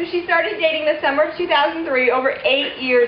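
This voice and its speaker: A loud, high-pitched woman's voice at a fairly quick pace, with audible room echo and noticeable background noise. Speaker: maid of honor. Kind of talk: wedding toast. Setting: wedding reception with audience.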